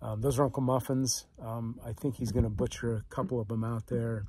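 A man talks at a moderate pace in a dark, mellow, somewhat breathy tone. The recording is dry with no echo and the background is quiet. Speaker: small farm vlogger. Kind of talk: casual vlog chat. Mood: relaxed, reflective. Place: boat. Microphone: phone near.

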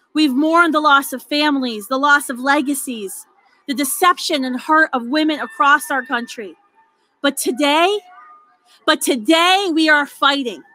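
A woman with a high pitch uses a raised, projected voice at a moderate pace, in a dry sound with no echo. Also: ordinary pitch variation. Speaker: rally speaker. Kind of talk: rally speech. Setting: outdoor rally with crowd. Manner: rousing, fervent. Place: street. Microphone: podium.

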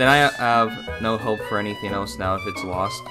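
Music in the background accompanies speech with lively intonation. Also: man. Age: young. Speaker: voice actor. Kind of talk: casual talk to camera. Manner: upbeat.

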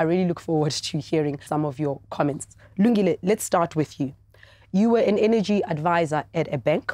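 A woman's fairly low voice in a dark, mellow tone, with ordinary pitch variation, dry sound with no echo and a quiet background. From South Africa. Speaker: TV debate host. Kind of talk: moderated TV debate. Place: studio.

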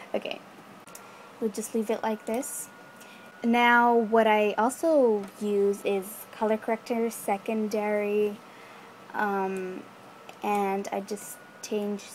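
A woman speaks at a very slow pace in a fairly high voice, with long, frequent pauses and noticeable background noise. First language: not English. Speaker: video editing tutorial maker. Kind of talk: casual screen-recorded tutorial voiceover. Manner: casual, hesitant with fillers.

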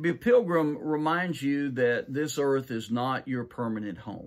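The voice belongs to a man. All around him is quiet. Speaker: pastor. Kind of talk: sermon. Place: office. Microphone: webcam.

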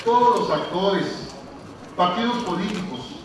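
A man is speaking. There is noticeable background noise and strong echo from the room. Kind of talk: formal oath and speech. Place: hall. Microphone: podium.

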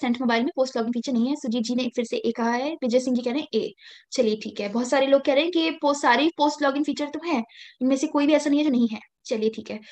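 Against a quiet background, a woman with a high pitch talks with ordinary pitch variation. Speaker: banking exam tutor. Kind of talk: online quiz class. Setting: video call. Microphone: video call.

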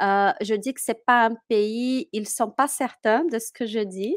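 A woman with a Portuguese accent speaks at a very slow pace with ordinary pitch variation. The sound is dry with no echo, over a quiet background. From Brazil, Minas Gerais. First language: Portuguese (speaking French). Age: 30s. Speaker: French teacher. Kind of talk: interview. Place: home room. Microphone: headset.

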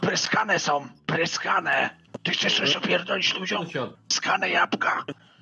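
A man's high-pitched voice at a moderate pace. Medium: game stream. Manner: playful, mock-official, then shouting.

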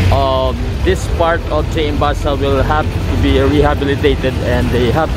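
The recording sounds dry with no echo, though loud background noise runs underneath. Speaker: walking tour vlogger. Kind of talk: casual vlog commentary. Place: street. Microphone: phone near.

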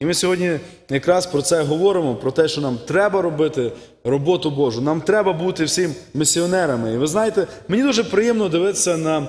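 The speaker keeps up a fairly quick pace. The intonation is lively. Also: man, high pitch for a man. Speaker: visiting missionary preacher. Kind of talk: sermon and mission report. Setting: church. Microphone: podium.

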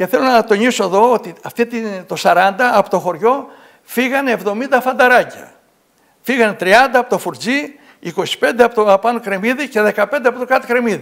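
A man speaks at an extremely high pitch with ordinary pitch variation. His pace is moderate, and the background is quiet. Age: 70s. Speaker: local author; guest. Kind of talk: TV interview. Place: studio. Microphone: lapel.

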